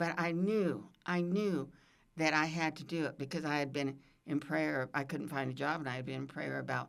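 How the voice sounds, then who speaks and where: Vocal fry runs through the voice in a very clean recording with a silent background. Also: woman, very deep, low pitch for a woman, ordinary pitch variation, moderate pace. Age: 80s+. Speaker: retired state senator, university board member. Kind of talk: podcast interview. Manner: conversational, repeats words.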